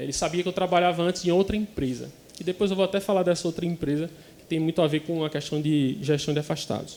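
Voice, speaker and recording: Over noticeable background noise, a speaker with a northeastern Brazilian accent talks at a very fast pace with fairly even intonation and big swings in loudness. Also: man, high pitch for a man. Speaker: occupational physician. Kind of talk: conference presentation.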